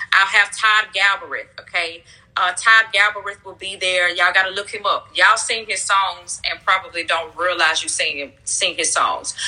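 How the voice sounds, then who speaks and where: A woman of medium pitch talks at a moderate pace with hardly any pauses and ordinary pitch variation. Her loudness swings widely, and background noise is noticeable. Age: 30s. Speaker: pastor. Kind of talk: casual chat. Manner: upbeat.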